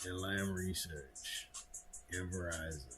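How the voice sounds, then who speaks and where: A man speaks with ordinary pitch variation, with audible room echo and music in the background. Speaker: stock market live streamer. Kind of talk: live market commentary. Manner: casual, conversational.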